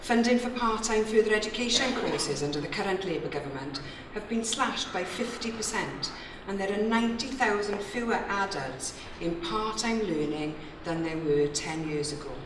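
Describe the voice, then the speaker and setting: Speech at a moderate pace, with noticeable background noise behind it. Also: woman. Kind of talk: political conference speech. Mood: critical, persuasive. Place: hall. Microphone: podium.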